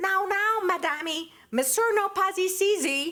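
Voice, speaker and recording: A woman uses a put-on character voice, extremely high in pitch, with a Portuguese accent, speaking at a fairly slow pace. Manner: sweet, feigned politeness.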